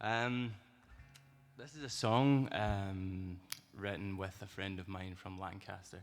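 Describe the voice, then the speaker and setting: In a Scottish accent, a man speaks at a fairly low pitch and a very slow pace, with long, frequent pauses and big swings in loudness. Music plays in the background, and room echo is audible. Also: ordinary pitch variation. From Scotland, west coast (Argyll). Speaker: singer-songwriter. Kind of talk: on-stage song introduction. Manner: halting, filler-heavy.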